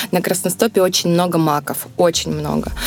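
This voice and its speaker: Music sounds in the background. The woman's intonation stays fairly even. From southern Russia, Rostov region. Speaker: winemaker. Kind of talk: interview conversation.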